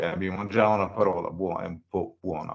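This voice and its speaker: Against a quiet background, a man with an English accent speaks with ordinary pitch variation. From United States. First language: English (speaking Italian). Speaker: open education expert, former math professor; webinar presenter. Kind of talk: webinar presentation. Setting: video call webinar. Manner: halting, many fillers and repetitions. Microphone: video call.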